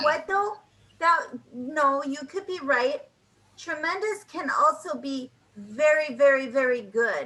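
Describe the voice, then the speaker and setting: A woman with an American accent speaks very slowly in a raised, projected voice, bright and sharp in tone, at a high pitch with lively intonation. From United States. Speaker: English tutor. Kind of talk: online English lesson conversation.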